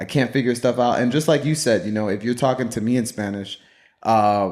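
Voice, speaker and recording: A man speaks at a very fast pace in an animated tone, his medium pitch showing ordinary variation. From US, Puerto Rican family. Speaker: podcast host. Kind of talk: casual chat.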